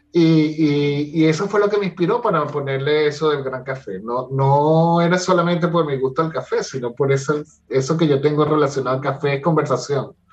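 Speaking at a moderate pace with hardly any pauses, a man sounds somewhat breathy, his pitch varying in an ordinary way. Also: fairly high pitch for a man. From Venezuela (Caracas). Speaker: life coach and theatre director. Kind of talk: interview conversation. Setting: at home, remote call. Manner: animated.

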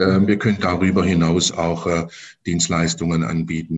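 The pitch moves in an ordinary way. The pace is moderate. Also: man. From Stuttgart, Germany. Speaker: insect screen business owner. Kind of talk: interview. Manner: halting, many repetitions and fillers.

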